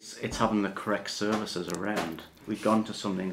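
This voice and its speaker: A man talks at a fairly quick pace with a fairly low pitch. His intonation is monotone and flat. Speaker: partner and carer. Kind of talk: casual interview. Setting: at home.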